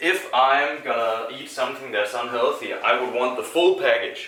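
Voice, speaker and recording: The speech moves at a moderate pace. Room echo is audible, along with noticeable background noise. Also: man. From Denmark. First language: Danish. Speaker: live streamer. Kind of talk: casual livestream chat while baking. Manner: halting.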